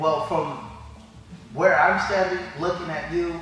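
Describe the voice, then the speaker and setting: With music in the background and audible room echo, a man speaks with fairly even intonation. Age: 60s. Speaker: jiu-jitsu student. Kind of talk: interview.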